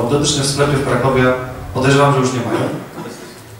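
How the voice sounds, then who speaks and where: Very fast speech from a man with a fairly high pitch, strong room echo and light background noise. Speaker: presenter and speaker at a tech meetup. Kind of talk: casual tech talk to an audience. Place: hall.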